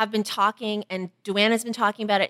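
Speaking at a very fast pace, a woman comes through with a dry, close sound and no echo. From Toronto, Canada. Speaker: podcast host. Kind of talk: casual chat.

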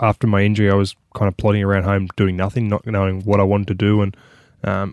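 The recording is very clean, with a silent background. A man talks very fast in a monotone, flat intonation at a fairly low pitch. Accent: Australian. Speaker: former rugby league player. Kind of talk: casual chat.

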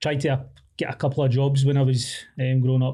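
A man's somewhat breathy voice with a dark, mellow tone, medium pitch, a moderate pace and a Glaswegian accent. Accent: Glaswegian Scottish. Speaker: academic researcher. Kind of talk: casual chat.

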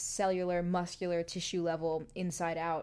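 Delivered at a moderate pace in an American accent, this dark, mellow voice comes through a very clean recording with a silent background. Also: woman. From New York City. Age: 30s. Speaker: yoga teacher and public speaker. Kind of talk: casual interview.

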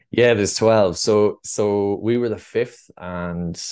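At a fairly slow pace, a man with an Irish accent speaks over a quiet background. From Ireland, North Tipperary. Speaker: adventure travel company founder. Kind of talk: podcast interview. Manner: hesitant, many fillers.

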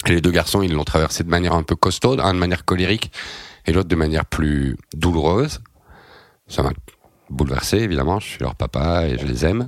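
A man at a moderate pace, his pitch very deep and low. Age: 40s. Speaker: journalist and novelist. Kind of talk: interview.

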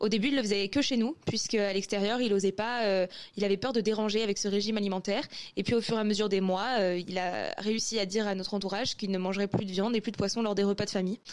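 Her loudness very even and her intonation fairly even, a woman talks very fast at a medium pitch. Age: 20s. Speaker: anonymous testimony contributor. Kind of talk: testimony.

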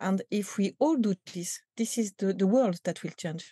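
A woman with a French accent speaks fairly slowly at a medium pitch, with ordinary pitch variation and a dark, mellow, somewhat breathy tone. The sound is dry and close with no echo, and the background is quiet. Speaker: company culture executive. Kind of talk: interview. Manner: halting, many repetitions and fillers.

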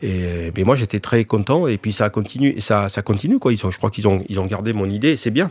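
A man talks with hardly any pauses and ordinary pitch variation. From France, child of immigrants. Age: 60s. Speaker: entrepreneur and rugby club owner. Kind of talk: interview. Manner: halting.

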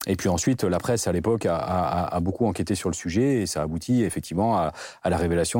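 Very fast speech from a man with a very deep, low pitch and a dark, mellow tone, ordinary pitch variation, very clean recording and silent background. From southwest France, Bordeaux area. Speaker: NGO director. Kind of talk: interview. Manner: halting.

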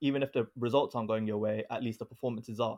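In an ordinary speaking voice, a man talks at a medium pitch with fairly even intonation, in a dry, close sound with no echo and a quiet background. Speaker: podcast panelist. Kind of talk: casual chat, football debate.

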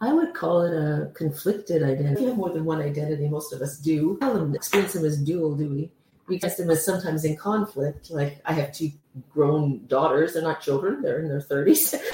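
A woman with a Canadian accent and a very deep, low pitch, ordinary pitch variation, a fairly quick pace, and noticeable background noise. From Canada. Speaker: professor. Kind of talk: interview.

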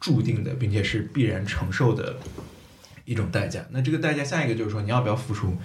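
A man's medium-pitched voice carries audible room echo. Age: 30s. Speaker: podcaster. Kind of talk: casual chat.

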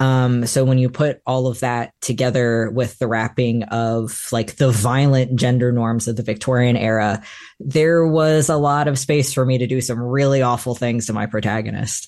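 Against a quiet background, a man talks with fairly even intonation. He has an ordinary speaking voice. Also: medium pitch for a man, moderate pace. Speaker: novelist. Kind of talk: author interview.

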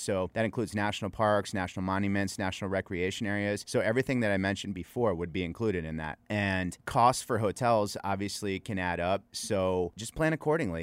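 Over a very clean recording with a silent background, a man with a normal speaking voice talks fairly quickly at a fairly low pitch, with ordinary pitch variation. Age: 40s. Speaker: world traveler. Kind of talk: casual chat.

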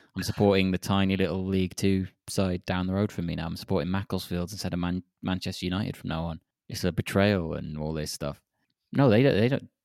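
A man with a very deep, low voice talks very fast with fairly even intonation, the sound dry and close with no echo. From Wales. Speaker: podcast co-host. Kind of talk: casual chat. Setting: remote call.

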